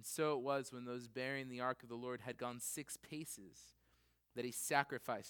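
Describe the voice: Plain reading aloud, its pitch holding fairly level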